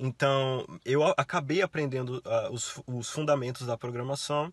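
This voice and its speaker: A man speaks at a fairly slow pace in a dry sound with no echo over a quiet background. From Brazil. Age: 20s. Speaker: university student; interviewee. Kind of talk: interview. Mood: relaxed, friendly. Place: car. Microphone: phone near.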